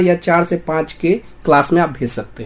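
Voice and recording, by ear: This man has a high pitch and a slightly mellow tone. He speaks at a moderate pace.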